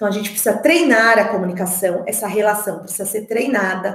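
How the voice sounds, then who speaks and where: A woman talks in an animated tone with lively intonation. Room echo is audible. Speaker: speech therapist. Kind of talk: online talk for parents. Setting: online meeting. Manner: animated, varied intonation.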